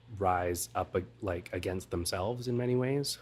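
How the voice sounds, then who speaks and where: A soft-spoken man talks at a fairly slow pace. The recording is very clean, with a silent background. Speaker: hospitality professional. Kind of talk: interview answer.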